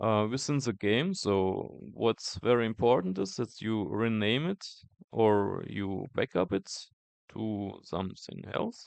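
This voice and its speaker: A man speaks at a very slow pace with a non-native accent. His pitch varies in an ordinary way. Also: fairly low pitch for a man. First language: not English. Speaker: tech youtuber. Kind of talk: tutorial. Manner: halting, many fillers.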